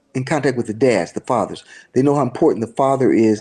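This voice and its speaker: A man talking at a fairly quick pace, with ordinary pitch variation. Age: 60s. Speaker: church leader. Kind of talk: interview. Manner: halting, with many repeats.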